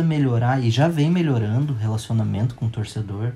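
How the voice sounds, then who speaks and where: Over noticeable background noise, a man with a medium-pitched voice talks at a fairly quick pace with ordinary pitch variation. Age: 30s. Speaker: football fan. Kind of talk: storytelling. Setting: at home with his son.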